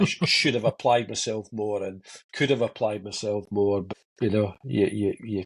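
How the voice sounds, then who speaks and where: Recorded with a dry, close sound, no echo and a quiet background, a man speaks in a fairly low, somewhat breathy voice at a moderate pace with ordinary pitch variation. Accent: Scottish. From Motherwell, Scotland. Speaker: TV director, radio DJ, bass player. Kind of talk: podcast interview answer.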